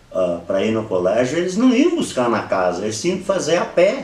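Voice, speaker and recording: Speaking rather slowly, a man is heard with echo bouncing off the room and background noise plainly present. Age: 60s. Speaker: interviewee, local elder. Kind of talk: oral history interview. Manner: halting.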